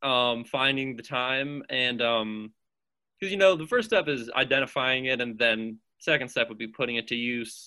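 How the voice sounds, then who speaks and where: With a normal speaking voice, this man talks at a moderate pace, his pitch medium and its variation ordinary. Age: 20s. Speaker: podcast guest, childhood friend of host. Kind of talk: casual chat.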